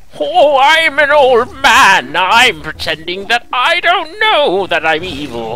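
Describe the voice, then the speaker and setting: Someone uses a put-on character voice with very wide pitch swings, speaking fairly slowly with hardly any pauses. Background noise is clearly audible. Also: man, extremely high pitch for a man. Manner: frail, mocking.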